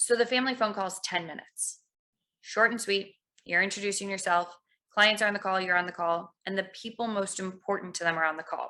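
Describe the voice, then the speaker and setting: A woman with a medium-pitched voice speaks at a fairly quick pace with a bright, sharp tone and fairly even intonation. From US Midwest, Chicago suburbs. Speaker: financial practice management consultant. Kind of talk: podcast interview.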